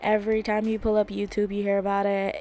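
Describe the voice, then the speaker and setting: A woman talks at a fairly quick pace and a medium pitch. Her intonation is monotone and flat. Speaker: podcast host. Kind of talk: casual chat. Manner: loud; fast.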